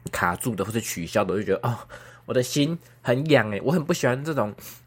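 A man talks at a very fast pace with lively intonation in a very clean recording with a silent background. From Taiwan, Kaohsiung. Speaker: podcaster. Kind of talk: casual solo chat. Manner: clear articulation today, no braces.

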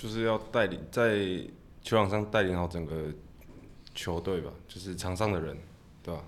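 Heard with audible room echo, a man with a very deep, low pitch speaks with long, frequent pauses. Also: ordinary pitch variation, moderate pace. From Taiwan, Tainan. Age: 20s. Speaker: baseball catcher. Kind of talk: interview.

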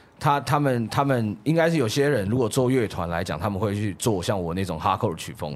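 With hardly any pauses, a man talks fairly quickly in an ordinary speaking voice, fairly low in pitch and lively in intonation, on a very clean recording with a silent background. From Taiwan, Kaohsiung. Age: 20s. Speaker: music producer. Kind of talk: casual chat.

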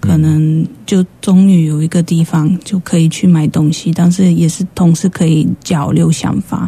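Using a Polish accent, a woman with a fairly low pitch speaks at a fairly slow pace in a monotone, flat intonation with hardly any pauses. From Poland. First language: Polish (speaking Chinese). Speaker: shop owner. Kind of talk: radio interview. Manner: halting.

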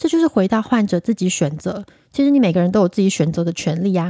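A woman with a Taiwanese accent speaks at a fairly quick pace in a medium pitch, her tone dark and mellow and her intonation lively, on a very clean, dry, close recording with a silent background and no echo. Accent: Taiwanese Mandarin. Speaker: podcast host, Chinese medicine doctor. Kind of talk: casual solo podcast talk.

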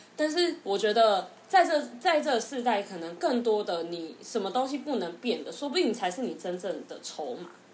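Amid audible room echo, a woman with a fairly high pitch speaks with hardly any pauses, very wide pitch swings and big swings in loudness. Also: moderate pace. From Taiwan. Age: 20s. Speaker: former marketing worker, future UK grad student. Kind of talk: casual chat.

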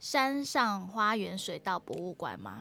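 A woman's unremarkable speaking voice, medium in pitch, with lively intonation. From Singapore. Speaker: podcast host and singer-songwriter. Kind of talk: casual solo podcast, travel talk.

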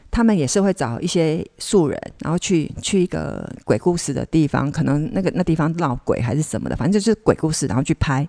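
Talking at a fairly quick pace with hardly any pauses, a woman uses a very deep, low pitch, a dark, mellow tone, vocal fry and lively intonation, in a dry, close sound with no echo on a very clean recording with a silent background. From Kaohsiung, southern Taiwan. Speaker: actress. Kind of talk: casual interview chat. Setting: on location away from studio.

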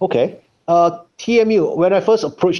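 A man is speaking. His tone is dark and mellow. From Malaysia. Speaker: biotech company co-founder. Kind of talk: interview. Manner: halting.

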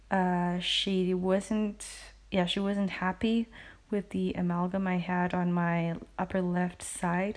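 A woman speaks very slowly at a medium pitch, her intonation flat and monotone. Her loudness stays very even against a quiet background. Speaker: podcaster. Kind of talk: casual chat. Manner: rambling, halting.

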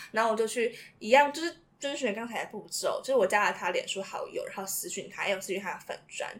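A woman talks at a very fast pace with a fairly high pitch. Her intonation is lively. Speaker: university student. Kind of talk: casual chat.

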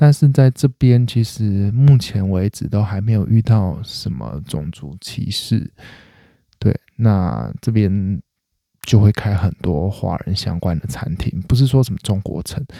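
A man's dark, mellow voice with a Taiwanese accent, fairly low in pitch, with lively intonation and a fairly slow pace, dry and close with no echo, on a very clean recording with a silent background. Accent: Taiwanese Mandarin. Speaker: comedy podcast host. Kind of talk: casual solo monologue.

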